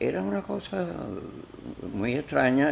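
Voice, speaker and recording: A man's fairly low voice with very wide pitch swings, set against noticeable background noise. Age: 80s+. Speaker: philosopher and film critic. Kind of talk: interview. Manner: halting.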